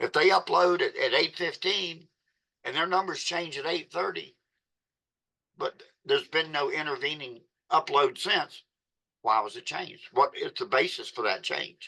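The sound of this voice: With vocal fry and a bright, sharp tone, a man speaks at a fairly high pitch and a fairly slow pace with ordinary pitch variation.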